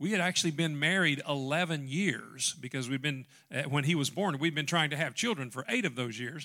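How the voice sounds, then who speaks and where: A man with a Southern US accent, fairly high in pitch with ordinary variation, bright and sharp in tone, at a fairly quick pace, on a very clean recording with a silent background. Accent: Southern American. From US South, western Tennessee. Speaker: pastor. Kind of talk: sermon.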